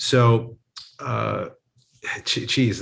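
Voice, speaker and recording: A man's somewhat breathy voice against a quiet background. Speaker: relationship coach. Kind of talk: interview answer. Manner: sincere, grounded.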